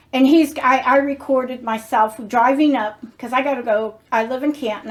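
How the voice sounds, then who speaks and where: A woman speaks at a moderate pace. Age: 60s. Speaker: lifestyle vlogger. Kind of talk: casual chat.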